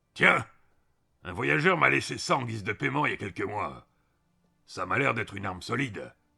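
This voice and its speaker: A man does a raspy put-on character voice at a fairly low pitch, with very wide pitch swings, a moderate pace and long, frequent pauses. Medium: read story. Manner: dry, teasing.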